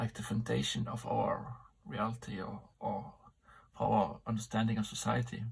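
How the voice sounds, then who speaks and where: There is vocal fry in this voice, which moves at a moderate pace with fairly even intonation. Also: man, medium pitch for a man. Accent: non-native. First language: not English. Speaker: amateur philosopher vlogger. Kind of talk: solo vlog monologue. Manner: halting, many fillers.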